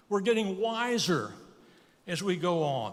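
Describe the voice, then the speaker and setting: With lively intonation and audible room echo, a man talks at a fairly slow pace. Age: 80s+. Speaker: guest preacher. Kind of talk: sermon.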